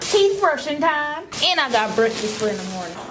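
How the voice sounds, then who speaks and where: A woman speaks at a fairly quick pace. Noticeable background noise and audible room echo are present. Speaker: vlogger. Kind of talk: vlog narration.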